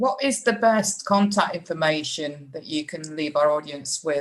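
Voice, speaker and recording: Lively intonation marks this woman's very deep, low voice, in a British accent. She speaks at a fairly slow pace. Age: 60s. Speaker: podcast host. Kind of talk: interview.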